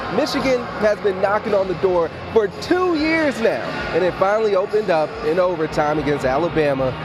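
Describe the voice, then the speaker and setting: Noticeable background noise runs under a man's high-pitched voice. He talks at a fairly quick pace with very wide pitch swings. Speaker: sports anchor and reporter. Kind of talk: on-location TV reporting, montage of stand-ups.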